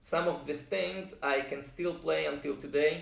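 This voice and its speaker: A man speaks with a Russian accent in a room with audible echo. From Israel, moved from Russia at age five. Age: 30s. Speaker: music producer and composer. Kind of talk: personal introduction vlog. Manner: hesitant, frequent uh fillers.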